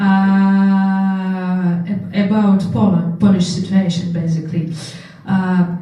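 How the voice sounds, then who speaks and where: A woman speaks at a medium pitch. There is audible room echo and noticeable background noise. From Russia. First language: Russian. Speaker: political candidate. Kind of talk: panel discussion.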